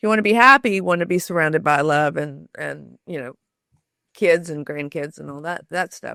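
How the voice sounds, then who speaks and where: A woman with an American accent talks at a fairly low pitch and fairly quick pace, her tone bright and sharp and her intonation lively, on a very clean recording with a silent background and a dry, close sound with no echo. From US South, Shreveport, Louisiana. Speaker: author and storytelling expert. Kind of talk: interview conversation.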